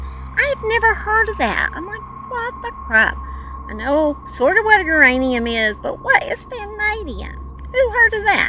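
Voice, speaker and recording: Music plays in the background as a woman talks. She speaks with an American accent at a moderate pace. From Oklahoma. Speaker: true crime youtuber. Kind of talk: casual vlog narration. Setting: outdoors on a mountain. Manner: animated.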